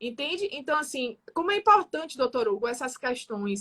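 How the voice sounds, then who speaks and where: A woman speaks in a raised, projected voice with a bright, sharp tone. Her pitch swings very widely, and the sound is dry and close with no echo. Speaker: building manager. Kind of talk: radio talk show discussion.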